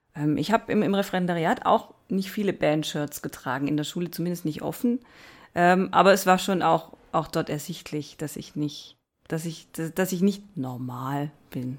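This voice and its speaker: Recorded very cleanly against a silent background, a woman speaks at a moderate pace in a fairly low pitch with ordinary pitch variation. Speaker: teacher and author. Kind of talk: casual chat.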